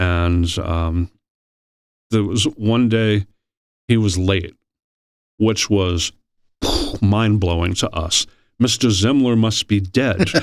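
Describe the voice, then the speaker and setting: A man with an American accent talks at a very slow pace, leaving long, frequent pauses. His pitch is fairly low with ordinary variation, and his loudness stays very even. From New York City, Queens. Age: 60s. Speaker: state politician. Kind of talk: podcast interview.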